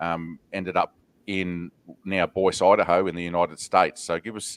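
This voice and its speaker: Very deep, low male voice in an Australian accent, monotone and flat, with a dry, close sound, no echo, and a very clean recording over a silent background. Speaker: podcast host. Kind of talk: podcast interview.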